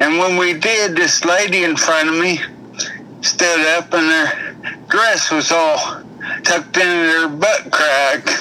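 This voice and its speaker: A man with a high voice talks at a very slow pace, his loudness very even and his intonation fairly even. Noticeable background noise sits behind him. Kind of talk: telling a joke.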